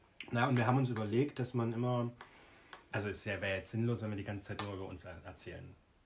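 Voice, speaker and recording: A man talks very fast at medium pitch with fairly even intonation. His loudness swings widely, and background noise is noticeable. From Germany, village near Jena (Thuringia). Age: 20s. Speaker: podcast co-host. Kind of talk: casual chat.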